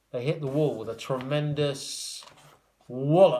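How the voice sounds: A man speaks at a medium pitch with ordinary pitch variation. His tone is slightly mellow and his pace fairly slow.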